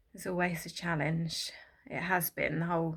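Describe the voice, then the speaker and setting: A woman with vocal fry at a fairly low pitch and a moderate pace, her intonation fairly even, on a very clean recording with a silent background. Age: 30s. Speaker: vlogger. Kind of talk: casual chat. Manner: halting, many fillers.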